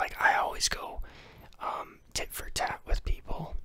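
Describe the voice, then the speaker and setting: A man whispers at a fairly slow pace. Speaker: ASMR creator. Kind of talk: casual vlog chat, storytelling. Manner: close-mic ASMR whisper, rambling. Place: home room. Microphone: studio mic.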